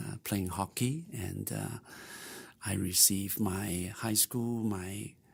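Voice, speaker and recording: Very slow, somewhat breathy speech with ordinary pitch variation, in a very clean recording against a silent background. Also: man, fairly low pitch for a man. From Vietnam, then Montreal from age twelve. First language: Vietnamese or Chinese. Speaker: missionary. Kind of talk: interview. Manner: halting, many fillers.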